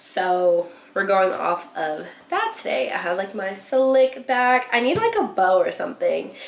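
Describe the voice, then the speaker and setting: There is noticeable background noise. Through it, a woman talks. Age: 20s. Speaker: beauty and lifestyle vlogger. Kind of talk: casual chat. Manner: animated.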